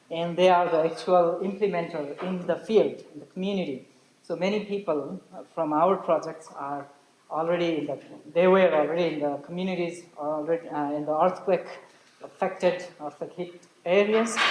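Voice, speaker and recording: The speech moves at a moderate pace, with noticeable background noise present throughout. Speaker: aid worker. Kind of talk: presentation. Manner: halting.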